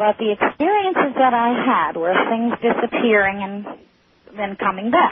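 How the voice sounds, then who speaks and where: A woman speaks in an unremarkable speaking voice at a fairly high pitch. Her pace is fairly slow and her pitch variation ordinary. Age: 60s. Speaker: caller. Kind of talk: call-in radio conversation. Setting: phone call. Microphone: caller hears feedback on the line.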